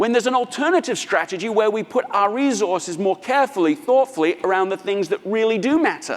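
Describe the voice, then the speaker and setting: His pitch swings very widely. The man speaks at a fairly quick pace. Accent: British. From England, London. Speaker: author and business speaker. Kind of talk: conference keynote talk.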